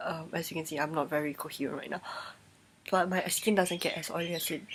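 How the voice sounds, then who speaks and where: A woman with a fairly low pitch speaks in a monotone, flat intonation with long, frequent pauses over noticeable background noise. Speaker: beauty vlogger. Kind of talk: casual product review vlog. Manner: halting.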